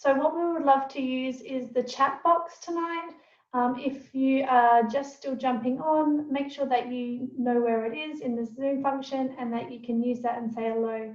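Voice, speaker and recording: With hardly any pauses, a woman speaks in a high pitch and fairly even intonation amid audible room echo. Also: moderate pace. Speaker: essential oil educator and presenter. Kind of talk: webinar presentation. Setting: video call.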